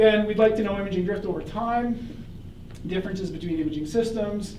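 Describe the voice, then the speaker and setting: Male speech in a room with audible echo, plus noticeable noise behind it. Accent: Canadian. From Canada. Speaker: professor. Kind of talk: lecture. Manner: animated.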